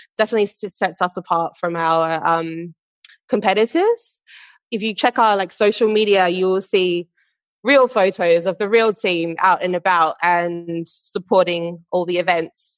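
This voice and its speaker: A woman's medium-pitched voice with an Australian accent, fairly even intonation and a fairly slow pace, dry and close with no echo over a quiet background. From Western Australia, Perth. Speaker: marketing manager. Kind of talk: interview.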